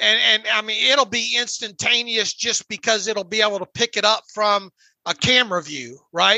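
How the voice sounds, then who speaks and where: In a raised, projected voice, a man speaks at a high pitch and a moderate pace with ordinary pitch variation, the sound dry and close with no echo. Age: 50s. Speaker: sports podcast host. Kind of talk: casual chat. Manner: halting.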